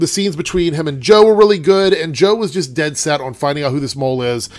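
A man talks at a fairly quick pace in a fairly high, nasal voice with a slightly mellow tone. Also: ordinary pitch variation.

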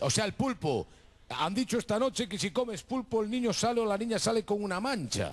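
Talking at a fairly quick pace, this man has a high pitch. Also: ordinary pitch variation. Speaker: TV show host. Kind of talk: casual TV chat with phone-in callers. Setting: TV studio. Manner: animated, playful. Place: stage. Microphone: handheld.

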